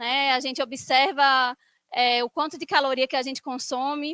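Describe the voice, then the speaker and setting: A woman projects a raised voice with a bright, sharp tone and a high pitch, in a Recife accent. Her intonation is fairly even, and the sound is dry and close with no echo. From Brazil, Recife (Pernambuco). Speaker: biomedical engineer and conference speaker. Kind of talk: conference talk. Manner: casual, filler-heavy.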